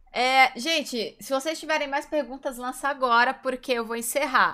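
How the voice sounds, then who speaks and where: A woman with a bright, sharp tone and high pitch, ordinary pitch variation, on a very clean recording with a silent background. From Brazil, São Paulo. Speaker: streamer and interview host. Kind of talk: casual interview chat.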